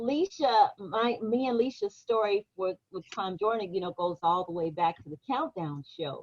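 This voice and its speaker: A woman's medium-pitched, animated voice in a Memphis accent, at a moderate pace with hardly any pauses, lively intonation and big swings in loudness, in a dry, close sound with no echo. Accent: Southern US (Memphis). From Washington, D.C., then Memphis, Tennessee. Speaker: radio actress and voice performer. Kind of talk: casual chat.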